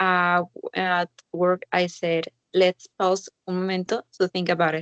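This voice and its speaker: A woman speaks with a Spanish accent at a fairly slow pace and medium pitch. The sound is dry and close, with no echo. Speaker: linguistics student. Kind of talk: casual chat.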